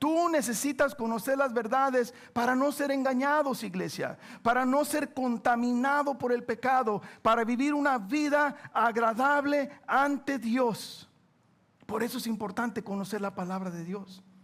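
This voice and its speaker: A man's extremely high-pitched voice at a fairly slow pace, with ordinary pitch variation, on a very clean recording with a silent background. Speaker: pastor. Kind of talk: sermon. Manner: animated.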